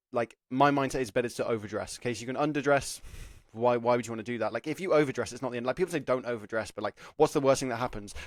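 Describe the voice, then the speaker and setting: Speaking very fast, a man with an English accent uses a medium pitch and ordinary pitch variation. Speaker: apprenticeship careers YouTuber. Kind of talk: advice talk to camera. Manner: casual, filler-heavy.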